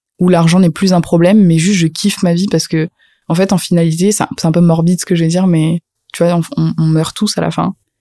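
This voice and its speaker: Her tone is dark and mellow, and the woman talks at a very fast pace in a monotone, flat way. The sound is dry and close, with no echo. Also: fairly low pitch for a woman. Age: 20s. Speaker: social media trainer. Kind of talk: casual chat.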